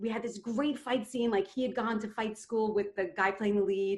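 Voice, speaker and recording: A woman with an American accent and a normal speaking voice talks at a fairly quick pace, her fairly high pitch held in fairly even intonation. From New York (Queens). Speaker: storyteller, theater actress and dancer. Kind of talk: personal storytelling.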